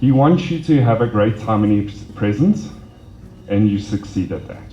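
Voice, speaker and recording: With a dark, mellow tone and fairly low pitch, a man speaks with vocal fry, lively intonation and big swings in loudness. The room echo is audible. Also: moderate pace. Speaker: wedding guest giving a speech. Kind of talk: wedding speech. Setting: wedding party.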